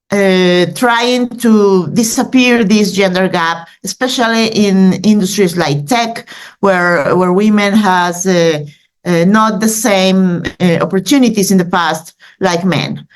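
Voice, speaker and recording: Speaking at a very slow pace with a Mexican accent, a woman keeps a medium pitch, ordinary pitch variation and very even loudness. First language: Spanish. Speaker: news editor. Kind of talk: presentation. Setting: video call. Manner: halting, many fillers.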